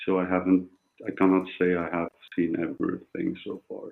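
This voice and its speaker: Someone speaks at a fairly slow pace in a Turkish accent. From Turkey. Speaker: caller to a live discussion show. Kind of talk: casual chat. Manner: halting.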